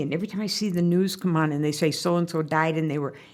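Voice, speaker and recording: The speech, in an American accent, comes at a very fast pace. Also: woman. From Central Minnesota, US. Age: 70s. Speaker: local business owner. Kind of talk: podcast interview conversation.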